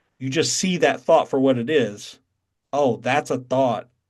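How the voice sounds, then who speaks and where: A man with a Southern accent speaks at a medium pitch. His pace is fairly slow, with ordinary pitch variation. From North Carolina. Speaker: satsang teacher. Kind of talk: spiritual teaching on video call. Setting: video call.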